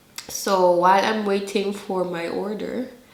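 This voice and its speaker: A woman with a Filipino accent speaks at a medium pitch. Noticeable background noise and audible room echo fill the recording. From Philippines. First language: Filipino dialect. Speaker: vlogger. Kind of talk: casual vlog talk. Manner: talkative.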